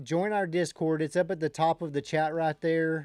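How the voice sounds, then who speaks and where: Fairly high in pitch, a man speaks at a moderate pace with fairly even intonation. The sound is dry and close, with no echo. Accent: Texan. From Texas. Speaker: day trading livestreamer. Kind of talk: casual chat. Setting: live stream.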